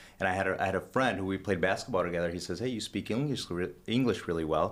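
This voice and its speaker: A man with a slight Honduran accent, a very deep, low pitch, ordinary pitch variation, and a very fast pace. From Honduras. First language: Spanish. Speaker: businessman. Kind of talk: casual interview. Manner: halting, many fillers and restarts.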